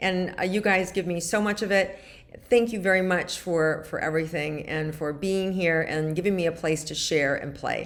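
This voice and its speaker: A woman's fairly low voice at a moderate pace, fairly even in intonation, with audible room echo. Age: 60s. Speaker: spiritual guide / weekly wellness vlogger. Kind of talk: casual monologue to viewers.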